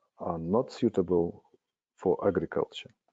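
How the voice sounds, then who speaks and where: With a Russian accent, a man talks at a fairly slow pace with ordinary pitch variation. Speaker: spiritual worker presenting on their nation. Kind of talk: prepared presentation read aloud. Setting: webinar video call. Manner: halting, with frequent hesitations.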